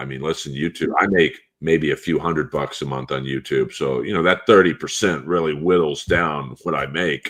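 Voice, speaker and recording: This man's voice sits at a very deep, low pitch with vocal fry. He speaks at a moderate pace. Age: 50s. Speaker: comedian and voice actor. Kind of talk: casual chat.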